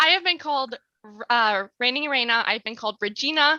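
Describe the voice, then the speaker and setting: A shaky, bright, sharp female voice, fairly high in pitch, fairly quick, with lively intonation. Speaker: featured guest, streamer. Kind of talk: casual chat. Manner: shaky voice; hesitant.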